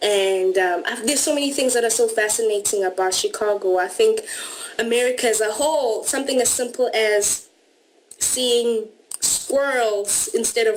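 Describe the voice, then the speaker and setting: A woman speaks with a South African accent at a fairly high pitch. Her pitch varies in an ordinary way. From South Africa, Durban. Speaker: au pair. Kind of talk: interview.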